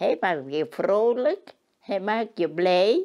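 A woman's fairly high, dark and mellow voice at a very slow pace, over a quiet background. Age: 80s+. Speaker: interviewee, robot test user. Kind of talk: interview answer. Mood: warm, fond. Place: home room.

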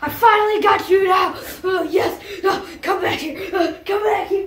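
An extremely high-pitched cartoonish character voice with slight echo. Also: moderate pace. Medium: puppet.

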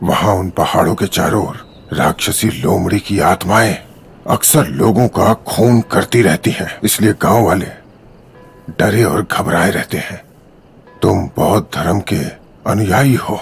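Putting on a raspy character voice, a man speaks at a moderate pace with a fairly low pitch. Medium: fan dub. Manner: calm, grave, instructive.

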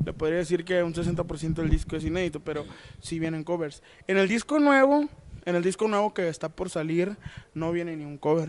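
A man's high-pitched voice shows ordinary pitch variation and moves at a moderate pace. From Sinaloa, Mexico. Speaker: musician in a regional Mexican band. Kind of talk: interview, casual chat. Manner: halting with many fillers. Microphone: handheld.

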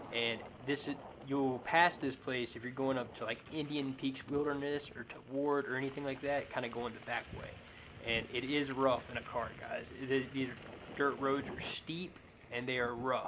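Monotone, flat intonation from a man at a moderate pace, with noticeable background noise. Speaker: wheel rider vlogger. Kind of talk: casual vlog chat. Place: open country.

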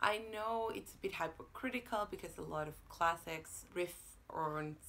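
Delivery comes at a fairly slow pace. Its intonation is lively. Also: woman. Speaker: booktuber; book vlogger. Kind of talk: casual monologue to camera. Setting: home apartment. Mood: wry, sarcastic.

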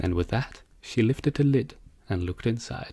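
A man's warm, cheerful, somewhat breathy voice at a moderate pace. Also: very clean recording, silent background. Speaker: audiobook narrator. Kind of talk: fairy-tale audiobook reading, scripted narration. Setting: home recording, solo narration. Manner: gentle, cheerful, steady pace.

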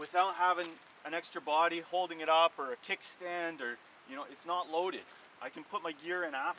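This man has a high-pitched voice. The sound is dry with no echo, and there is light background noise. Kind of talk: product demo tutorial. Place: open country. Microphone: camera far.

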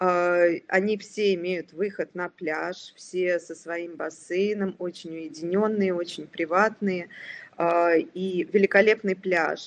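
A woman speaks with fairly even intonation. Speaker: hotel representative. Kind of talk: sales presentation. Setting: online webinar. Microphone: video call.

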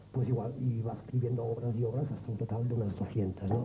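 Loud background noise sits under speech at a very fast pace. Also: man. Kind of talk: interview answer. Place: stage. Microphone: handheld.

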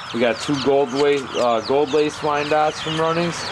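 A man speaks at a fairly slow pace through loud background noise. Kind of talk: casual vlog chat. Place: home room. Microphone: phone near.

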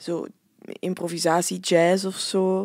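Flemish accent and monotone, flat intonation in a very clean recording with a silent background. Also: woman. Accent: Flemish Dutch. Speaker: festival-goer and podcast co-presenter. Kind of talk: casual chat.

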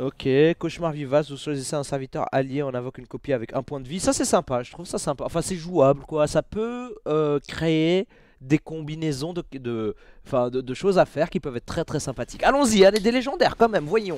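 A man with a fairly high pitch talks at a fairly quick pace with lively intonation and big swings in loudness, the sound dry with no echo and the background quiet. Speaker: gaming YouTuber and streamer; gaming YouTuber, streamer. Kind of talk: casual booster-opening commentary. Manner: fast; animated. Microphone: headset.

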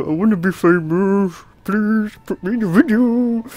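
This is a put-on character voice with a fairly high pitch. The pace is moderate. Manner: mocking, pleading.

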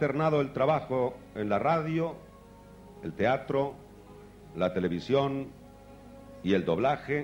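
Faint music plays in the background as a man speaks at a very slow pace with lively intonation. His delivery has long, frequent pauses. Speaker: awards presenter. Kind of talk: award ceremony introduction. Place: stage. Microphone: handheld.

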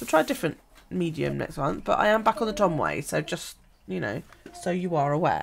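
A woman at a fairly quick pace, with light background noise. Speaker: journaling vlogger. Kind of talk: casual vlog chat. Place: home room.

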